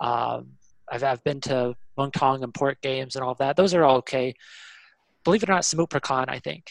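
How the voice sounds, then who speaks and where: A man with a Kentucky accent talks at a fairly quick pace, his medium pitch rising and falling in an ordinary way. He leaves long, frequent pauses, and the sound is dry and close with no echo. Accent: American, Kentucky. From Kentucky, US (Louisville). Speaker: football fan. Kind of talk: casual interview.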